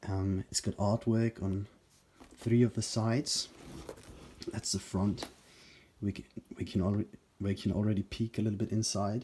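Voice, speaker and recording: A man with a fairly low pitch talks at a moderate pace in a somewhat breathy, monotone, flat delivery, leaving long, frequent pauses. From Germany. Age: 20s. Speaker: YouTuber, movie collector. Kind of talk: casual video talk. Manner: hesitant, filler words.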